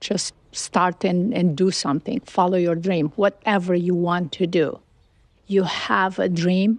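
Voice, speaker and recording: A woman with a Romanian accent speaks at a fairly slow pace, at a fairly low pitch, with fairly even intonation and very even loudness. The sound is dry and close with no echo, against a quiet background. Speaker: businesswoman. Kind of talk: interview.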